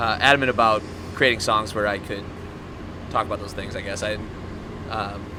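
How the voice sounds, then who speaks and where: A man with a fairly low pitch speaks at a fairly quick pace in a monotone, flat intonation, leaving long, frequent pauses against noticeable background noise. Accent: American. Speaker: band member. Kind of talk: interview. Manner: halting.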